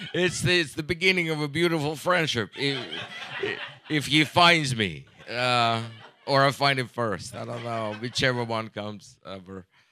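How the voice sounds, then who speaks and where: Noticeable background noise sits under a man speaking at a medium pitch and moderate pace with lively intonation. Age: 40s. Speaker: comedian. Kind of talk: stand-up.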